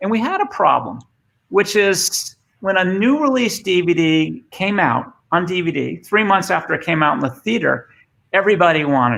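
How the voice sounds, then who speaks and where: A man with an American accent speaks in a high pitch for a man, with lively intonation and a bright, sharp tone. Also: moderate pace. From Boston, US. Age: 50s. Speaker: former tech executive and speaker. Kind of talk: presentation. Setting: remote video session. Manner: halting, many fillers.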